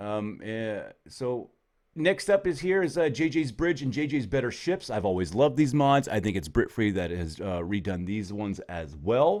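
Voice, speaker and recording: Pitch swings very widely at a moderate pace, captured in a very clean recording with a silent background. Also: man. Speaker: gaming YouTuber. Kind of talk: casual gameplay commentary. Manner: many filler words, hesitant. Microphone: good microphone.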